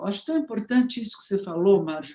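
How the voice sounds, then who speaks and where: A woman talks with lively intonation. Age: 70s. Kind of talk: casual chat.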